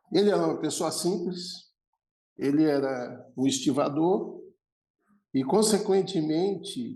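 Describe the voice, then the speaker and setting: With a dark, mellow tone and fairly high pitch, a man speaks with lively intonation and long, frequent pauses. Audible room echo surrounds his voice. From Brazil, Santos (São Paulo). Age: 60s. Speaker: logistics executive. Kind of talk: podcast interview.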